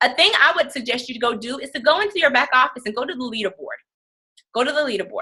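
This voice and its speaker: A woman with a high voice speaks very fast in a raised, projected voice, her intonation lively and her loudness swinging widely. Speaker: fitness business coach. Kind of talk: team training call. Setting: conference call.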